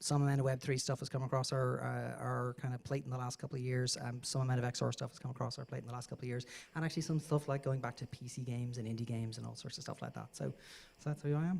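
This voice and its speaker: Speaking at a very fast pace, a man with a medium-pitched, somewhat breathy voice keeps his intonation fairly even. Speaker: game designer. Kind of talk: panel discussion. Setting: stage in auditorium.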